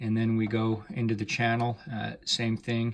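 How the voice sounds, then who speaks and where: Speech comes at a moderate pace over light background noise. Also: man. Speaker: audio dealer reviewing gear. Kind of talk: tutorial. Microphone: phone near.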